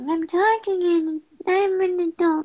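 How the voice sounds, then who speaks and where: A woman's put-on character voice, extremely high-pitched, at a fairly slow pace. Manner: put-on, mock-serious.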